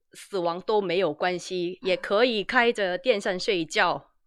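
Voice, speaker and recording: A woman with a Korean accent at a very slow pace against a quiet background. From South Korea. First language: Korean (speaking Chinese). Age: 30s. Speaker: YouTuber, translator. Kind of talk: casual chat. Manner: halting.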